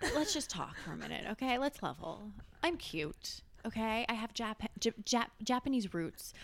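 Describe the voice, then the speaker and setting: A woman's fairly high, animated voice with lively intonation, vocal fry, and a moderate pace. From France. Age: 20s. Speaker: social media manager. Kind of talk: casual chat.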